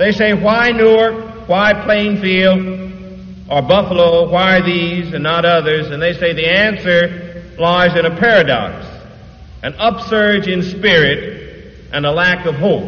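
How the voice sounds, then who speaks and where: At a very slow pace, a man with an American accent speaks in a high voice with ordinary pitch variation. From Detroit. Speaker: preacher. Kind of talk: church sermon. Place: church. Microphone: old recording.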